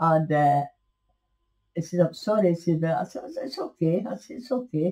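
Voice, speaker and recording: A woman talks at a fairly low pitch in a dark, mellow, somewhat breathy tone. Her pitch swings very widely over a quiet background. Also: moderate pace. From Scotland. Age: 80s+. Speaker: interviewee. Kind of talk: storytelling interview. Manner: halting. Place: home room. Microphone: webcam.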